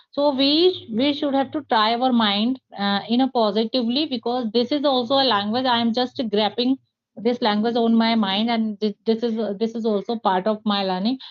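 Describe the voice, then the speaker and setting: A woman with an Indian accent speaks at a moderate pace in a fairly high voice, with ordinary pitch variation and very even loudness. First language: Hindi. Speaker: English teacher. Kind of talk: interview. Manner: halting, many fillers.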